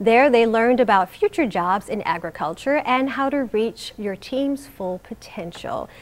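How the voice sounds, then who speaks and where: A woman talks at a moderate pace with hardly any pauses, in a fairly high pitch. Hers is a plain, everyday voice. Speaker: TV news anchor. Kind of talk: TV news anchor read.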